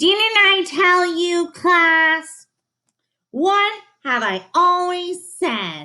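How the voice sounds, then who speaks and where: A woman's put-on character voice, extremely high in pitch, very slow in pace, with ordinary pitch variation. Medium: read story.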